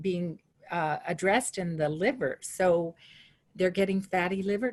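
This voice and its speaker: Somewhat breathy and medium in pitch, a woman's voice holds fairly even intonation. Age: 70s. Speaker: webinar participant asking a question. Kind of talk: Q&A question. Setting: webinar.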